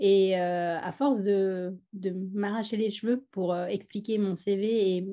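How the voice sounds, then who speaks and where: A woman speaks with a strong Parisian accent. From Paris suburbs, France. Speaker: doctor turned performer. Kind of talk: personal testimony. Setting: webinar. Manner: animated.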